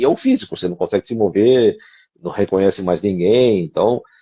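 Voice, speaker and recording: A man talks in an ordinary speaking voice, fairly quickly, with medium pitch and ordinary pitch variation. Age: 60s. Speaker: co-host of a discussion show. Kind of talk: casual conversation.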